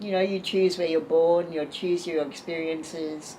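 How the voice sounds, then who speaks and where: A woman's fairly low-pitched voice at a moderate pace, monotone and flat, over noticeable background noise. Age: 70s. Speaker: artist and spiritual teacher. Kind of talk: interview conversation.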